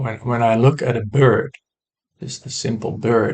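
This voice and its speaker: Somewhat breathy, a man with a non-native accent talks fairly slowly at a medium pitch with fairly even intonation. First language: not English. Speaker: woodworker sharing personal philosophy. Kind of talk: personal monologue to camera. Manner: halting, many fillers; reflective, slow.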